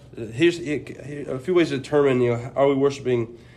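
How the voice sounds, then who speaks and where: Fairly even in intonation, a man talks fairly quickly at a medium pitch. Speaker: preaching student. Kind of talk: religious discussion.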